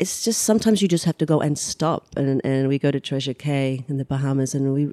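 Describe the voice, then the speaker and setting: With an Australian accent, a woman talks at a fairly quick pace with ordinary pitch variation. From Australia, Sydney outskirts. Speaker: humanitarian relief founder. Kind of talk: interview conversation. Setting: guest's home.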